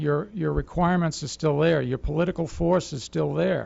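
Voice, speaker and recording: A man speaks with an American accent and fairly high pitch. He has a plain, everyday voice. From Massachusetts. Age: 60s. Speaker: resident speaking at public comment. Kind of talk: public comment at town meeting. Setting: town board meeting.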